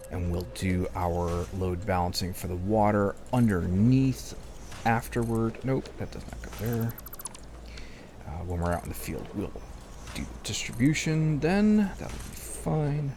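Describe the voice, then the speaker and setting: A man speaks at a fairly slow pace in a very deep, low voice, his pitch swinging very widely. Noticeable background noise and audible room echo fill the recording. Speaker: gaming video creator. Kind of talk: let's play commentary. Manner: casual thinking aloud.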